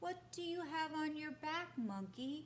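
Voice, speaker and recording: A squeaky, high-pitched put-on character voice at a fairly slow pace, with clear background noise. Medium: read story.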